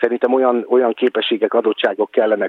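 The man here speaks at a fairly quick pace. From Hungary, Kecskemét. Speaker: actor and voice actor. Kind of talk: interview.

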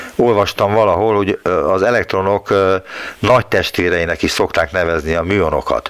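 A man talks with a fairly low pitch and ordinary pitch variation. Noticeable background noise runs under his voice. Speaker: radio science show host. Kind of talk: radio interview. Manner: polite, formal.

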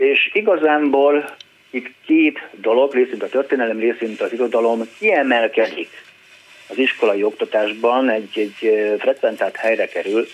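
Noticeable background noise sits behind a man speaking at a moderate pace and medium pitch with ordinary pitch variation. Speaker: painter and art teacher. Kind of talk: phone-in conversation. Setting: phone call.

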